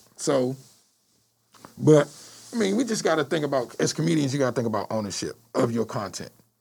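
With an American accent, a man speaks at a fairly quick pace, his pitch swinging very widely, broken by long, frequent pauses. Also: fairly high pitch for a man. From Washington D.C. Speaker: stand-up comedian. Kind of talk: casual chat.

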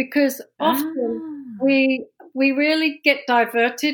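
Speaking with a London accent, a woman uses a high voice with ordinary pitch variation, in a very clean recording with a silent background. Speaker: business executive. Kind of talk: interview.

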